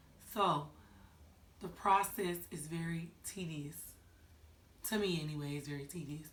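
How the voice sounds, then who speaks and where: In a room with audible echo, a woman speaks at a fairly low pitch. Her pitch varies in an ordinary way, and her pace is moderate. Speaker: vlogger. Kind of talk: casual vlog chat. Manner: animated.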